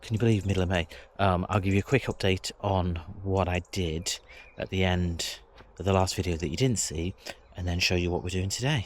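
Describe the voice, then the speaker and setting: The speaking rate is fairly quick. Pitch stays fairly level throughout. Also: man, very deep, low pitch for a man. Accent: English. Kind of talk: casual vlog talk to camera.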